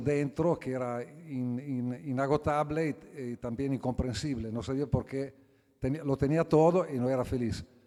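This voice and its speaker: A man with an Italian accent, medium-pitched, with a dark, mellow tone, a fairly slow pace and fairly even intonation. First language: Italian (speaking Spanish). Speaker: philosopher, book presenter. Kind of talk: book presentation talk. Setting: auditorium with audience. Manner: halting.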